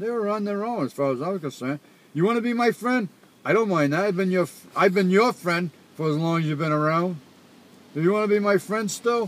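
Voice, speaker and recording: A man talks at a high pitch with a Rhode Island accent. He moves at a fairly quick pace with ordinary pitch variation. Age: old. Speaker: father. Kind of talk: casual chat.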